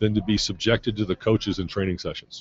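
This man has a medium pitch and a somewhat breathy voice, talking at a fairly quick pace. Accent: American. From US Midwest, Chicago. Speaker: youth soccer coach and former pro player. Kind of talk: interview.

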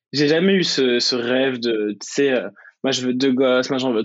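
A man's voice at medium pitch, with fairly even intonation and a moderate pace. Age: 20s. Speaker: student and UX designer. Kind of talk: interview. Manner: hesitant, many fillers.

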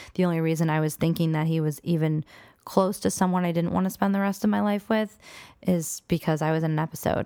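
A woman's dark, mellow tone, fairly low in pitch with ordinary pitch variation, at a fairly quick pace, with a dry, close sound, no echo, and a very clean recording on a silent background. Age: 20s. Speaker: podcast guest discussing divorce. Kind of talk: casual chat.

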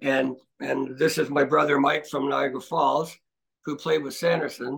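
In a Canadian accent, a man with a fairly high pitch and vocal fry speaks at a moderate pace. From Scarborough, Toronto, Ontario. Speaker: retired hockey player. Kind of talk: interview.

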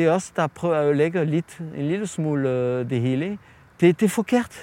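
A man's voice with ordinary pitch variation. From France. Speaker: chef. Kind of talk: interview. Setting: outdoors. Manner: halting.

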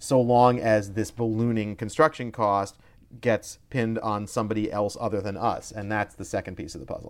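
A man with a plain, everyday voice talks at a fairly quick pace, his fairly low pitch held in fairly even intonation, on a very clean recording with a silent background. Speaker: stadium finance expert and author. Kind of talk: casual interview chat.

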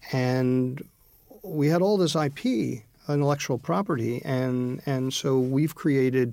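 Here is a man with a plain, everyday voice at medium pitch. His pitch varies in an ordinary way, and his pace is fairly slow. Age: 60s. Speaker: leadership author and consultant. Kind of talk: interview.

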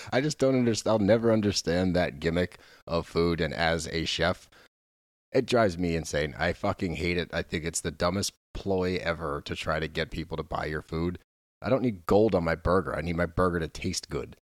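Recorded very cleanly against a silent background, a man speaks at a moderate pace in a very deep, low pitch with ordinary pitch variation. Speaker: podcast co-host. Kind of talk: casual chat. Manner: animated.

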